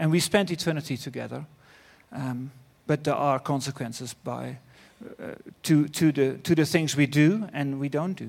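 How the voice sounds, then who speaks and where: Recorded very cleanly against a silent background, a man with a Dutch accent speaks at a moderate pace and fairly high pitch, with ordinary pitch variation, big swings in loudness, and long, frequent pauses. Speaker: preacher. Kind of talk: sermon. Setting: church.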